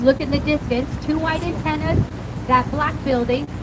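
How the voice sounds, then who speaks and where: With an American accent, a woman talks at a fairly quick pace amid noticeable background noise and audible room echo. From California. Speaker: boat tour guide. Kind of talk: guided tour commentary. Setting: outdoors on a river boat. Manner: fast; animated.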